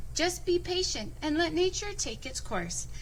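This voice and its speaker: Someone uses a put-on character voice at a moderate pace over clear background noise. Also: woman. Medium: read story. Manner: calm but easily exasperated.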